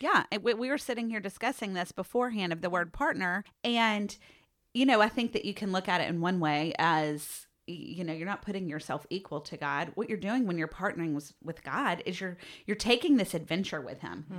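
A woman's normal speaking voice at medium pitch, with lively intonation and a fairly quick pace. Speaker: podcast host. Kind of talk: casual podcast chat.

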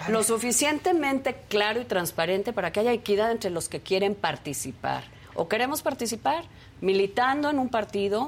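A woman at a moderate pace, fairly high in pitch, with very wide pitch swings. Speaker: panelist. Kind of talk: panel discussion on politics.

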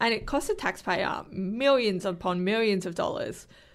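The speaker has an Australian accent and audible vocal fry. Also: woman. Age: 20s. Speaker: young politician and animal rights activist. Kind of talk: casual interview.

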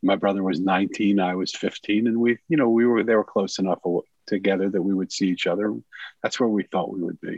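A man with a plain, everyday voice speaks at a fairly quick pace, his fairly low pitch showing ordinary variation. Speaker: author and former monk. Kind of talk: interview.

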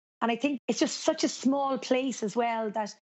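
In a Cork accent, a woman talks at a fairly quick pace. Her pitch is high. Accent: Cork Irish. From Ireland, Cork. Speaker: race announcer. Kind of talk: interview.

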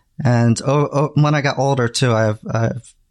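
With a medium pitch and ordinary pitch variation, a man speaks in a normal speaking voice with an American accent, the sound dry and close with no echo. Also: quiet background. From New Jersey, US. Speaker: graphic designer, new Star Trek viewer. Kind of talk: casual chat.

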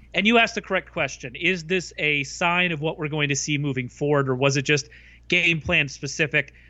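At a fairly quick pace, a man with an unremarkable speaking voice talks at a fairly high pitch with ordinary pitch variation. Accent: American. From US South. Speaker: fantasy football analyst. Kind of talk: casual chat.

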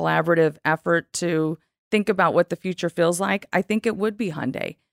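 A woman with an American accent talks in a normal speaking voice, fairly low with ordinary pitch variation. The recording is very clean with a silent background and a dry, close sound with no echo. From California. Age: 50s. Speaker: marketing executive. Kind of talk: interview conversation. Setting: in person.

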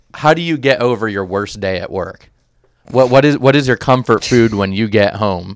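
A man speaks in an ordinary speaking voice at a moderate pace, with medium pitch and ordinary pitch variation. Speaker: sports podcast host. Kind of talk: sports recap discussion.

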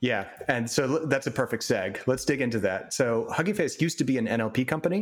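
With lively intonation and a medium pitch, a man in an unremarkable speaking voice talks at a fairly quick pace. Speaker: podcast interviewer, NLP practitioner. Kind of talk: interview. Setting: remote call from home.

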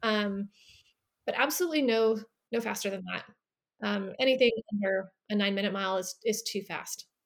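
A woman with a bubbly tone and an American accent, medium pitch, ordinary pitch variation and a fairly slow pace. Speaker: runner and English professor. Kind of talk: interview. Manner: talkative.

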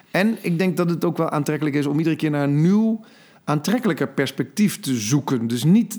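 A man with an ordinary speaking voice, fairly high pitch and lively intonation. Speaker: podcast co-host. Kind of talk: casual chat. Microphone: new microphone.

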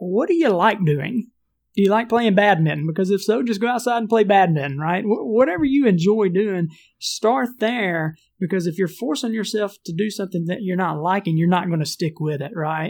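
Speaking at a moderate pace in a Southern US accent, a man with a high voice uses lively intonation on a very clean recording with a silent background. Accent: Southern US country. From US South. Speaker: entrepreneur and leadership trainer. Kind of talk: casual interview chat.

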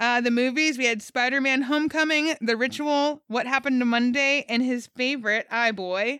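A woman with a high, bright and sharp voice speaks with fairly even intonation and very even loudness, recorded very cleanly and dry and close with no echo against a silent background. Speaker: podcast host. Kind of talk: casual chat. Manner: fast.

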